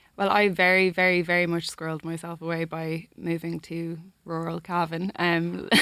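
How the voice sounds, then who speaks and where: A flat monotone in a Dublin accent, at a moderate pace. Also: woman, fairly low pitch for a woman. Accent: Dublin accent, getting stronger. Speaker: singer-songwriter. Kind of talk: interview chat. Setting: radio studio.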